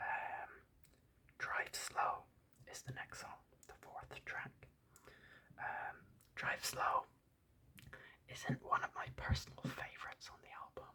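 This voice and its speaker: The speaker whispers at a very slow pace with long, frequent pauses. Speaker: ASMR YouTuber. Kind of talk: whispered ASMR album ramble. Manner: whispered.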